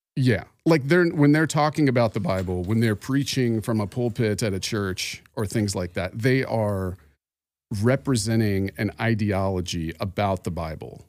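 In a very clean recording with a silent background, an ordinary speaking voice proceeds at a moderate pace. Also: man, fairly low pitch for a man. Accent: American. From Arizona (Phoenix). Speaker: podcast guest co-host, former evangelical. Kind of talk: casual chat about faith. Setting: in person.

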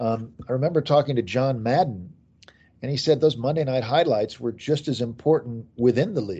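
Speaking at a fairly quick pace with an American accent, a man uses a medium pitch, ordinary pitch variation and a somewhat breathy tone. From US Midwest, Kansas City. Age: 50s. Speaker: author. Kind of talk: interview.

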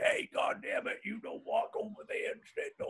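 In a put-on character voice, a man sounds gravelly, gruff and raspy while speaking at a moderate pace. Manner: gruff, scolding.

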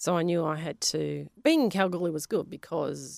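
A woman with an Australian accent at a moderate pace, on a very clean recording with a silent background. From Western Australia (Perth), Polish-speaking home. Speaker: science teacher and geologist. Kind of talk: interview.

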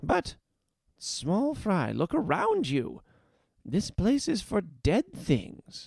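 Using a put-on character voice, a man speaks at a high pitch and a very slow pace with long, frequent pauses. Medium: read story. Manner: chipper, coaxing, warm.

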